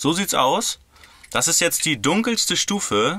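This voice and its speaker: A man speaks in a bright, sharp tone with ordinary pitch variation. The sound is dry with no echo, set against a quiet background. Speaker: van conversion vlogger. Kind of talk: casual vlog chat. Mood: cheerful and happy. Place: car. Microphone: phone near.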